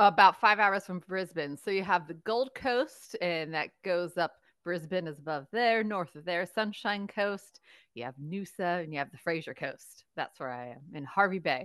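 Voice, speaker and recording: In an American accent, a woman with a plain, everyday voice and fairly low pitch speaks at a moderate pace with lively intonation and big swings in loudness against a quiet background. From United States. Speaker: interpretive guide. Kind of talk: interview conversation.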